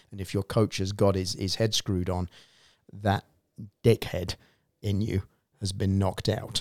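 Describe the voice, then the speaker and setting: A man's fairly low voice with a southern English accent, flat and monotone, at a moderate pace with long, frequent pauses, in a very clean, dry, close recording with a silent background and no echo. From southern England, Reading. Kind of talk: casual chat.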